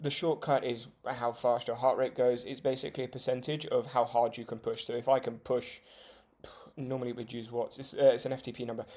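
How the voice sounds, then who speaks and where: A British accent at a moderate pace. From UK. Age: 20s. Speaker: vlogger, judo beginner. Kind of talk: casual vlog talk. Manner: hesitant, many fillers.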